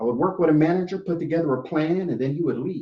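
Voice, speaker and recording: A dark, mellow tone delivered at a very fast pace. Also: man. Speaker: public speaker. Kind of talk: inspirational storytelling speech.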